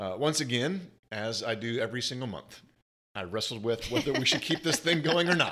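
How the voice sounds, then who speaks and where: With an ordinary speaking voice, a man talks at a fairly quick pace and medium pitch, with lively intonation. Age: middle-aged. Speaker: podcast co-host. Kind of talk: casual chat.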